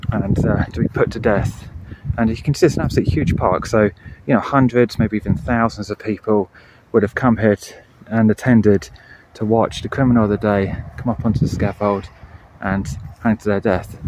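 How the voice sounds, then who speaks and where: A man's fairly low voice at a fairly quick pace with ordinary pitch variation, dry with no echo but with noticeable background noise. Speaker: bonsai hobbyist vlogger. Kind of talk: casual vlog chat. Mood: storytelling, gruesome local history. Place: open country. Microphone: phone near.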